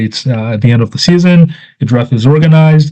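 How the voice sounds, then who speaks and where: A man's dark, mellow, somewhat breathy voice. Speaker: youth soccer advisor presenting a guide. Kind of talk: presentation. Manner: fast; hesitant with fillers.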